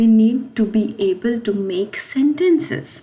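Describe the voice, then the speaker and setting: Somewhat breathy, this woman's voice sits at a fairly high pitch with a dark, mellow tone. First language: not French. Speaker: French language teacher. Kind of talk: tutorial. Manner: halting, with fillers.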